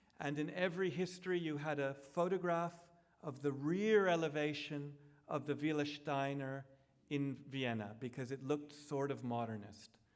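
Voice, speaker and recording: Heard with audible room echo, a man talks in a fairly high pitch with ordinary pitch variation. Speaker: architect giving a public lecture. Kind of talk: lecture. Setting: lecture hall with projected slides. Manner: self-aware of pacing, slightly slow.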